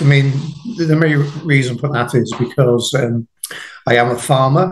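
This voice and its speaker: In a British accent, the speaker goes at a fairly slow pace, somewhat breathy, with ordinary pitch variation. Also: man. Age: 60s. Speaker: farmer and jiu-jitsu practitioner. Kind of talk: casual interview chat. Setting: podcast interview.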